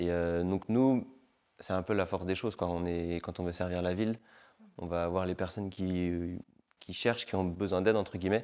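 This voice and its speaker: On a very clean recording with a silent background, a man speaks with a very deep, low pitch and fairly even intonation. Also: moderate pace. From Paris region, northern suburbs (France). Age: 20s. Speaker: assistant pastor and refugee charity volunteer. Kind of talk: testimony interview. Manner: casual, hesitant with frequent fillers.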